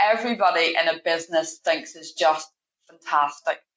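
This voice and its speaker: A woman speaks with a Northern Irish accent. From Northern Ireland. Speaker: payroll manager. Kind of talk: podcast interview.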